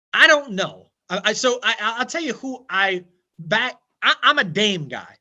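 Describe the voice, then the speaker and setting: Projecting his voice loudly, a man talks at a moderate pace with a bright, sharp tone and a high pitch. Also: lively intonation. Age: 30s. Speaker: financial advisor. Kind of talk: casual chat. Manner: animated.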